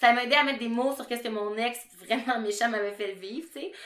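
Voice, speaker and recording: Here a woman talks at a fairly quick pace with a Quebec accent. Her pitch is fairly high, with ordinary pitch variation. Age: 30s. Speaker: podcast co-host, sexology student. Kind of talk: casual chat.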